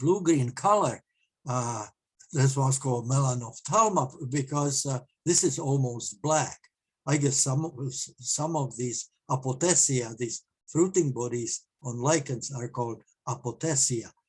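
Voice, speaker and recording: Somewhat breathy, a man speaks at a fairly slow pace in a medium-pitched voice. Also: ordinary pitch variation. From Czech Republic, eastern Bohemia. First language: Czech. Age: 70s. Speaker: amateur mycologist presenter. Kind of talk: presentation. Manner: halting, many fillers.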